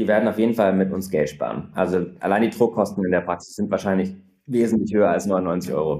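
Vocal fry in a dark, mellow tone. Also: man, very deep, low pitch for a man, ordinary pitch variation, fairly quick pace. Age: 30s. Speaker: startup founder. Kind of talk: interview.

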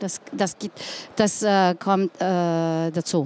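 A woman with a Slovenian accent. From Slovenia, Ljubljana. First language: Slovenian (speaking German). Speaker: city tourism director. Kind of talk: live panel talk. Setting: trade fair stage with audience. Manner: halting, searching for words.

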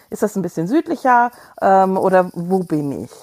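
Here is an unremarkable speaking voice with lively intonation at a fairly slow pace. The recording is very clean, with a silent background. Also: woman. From Hesse, Germany. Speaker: travel podcast co-host. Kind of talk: casual interview.

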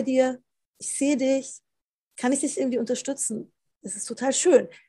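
High-pitched woman's voice at a fairly quick pace. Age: 40s. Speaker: philosopher and author. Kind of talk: casual interview chat.

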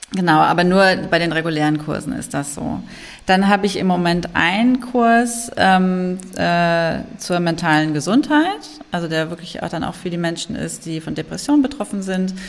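A woman speaks at a fairly low pitch. Her intonation is lively. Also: moderate pace. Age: 40s. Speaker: yoga teacher and trauma-sensitive coach. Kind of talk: interview about personal experience of depression. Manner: hesitant with many fillers.

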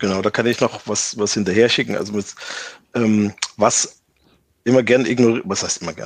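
This is a man with a fairly low pitch. His intonation stays fairly even. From eastern Germany. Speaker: tech sales executive. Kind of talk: interview. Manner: halting, many fillers.

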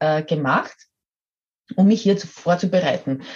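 A woman with a fairly low pitch and a dark, mellow tone sounds somewhat breathy as she speaks at a moderate pace. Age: 50s. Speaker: model and coach. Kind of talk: interview.

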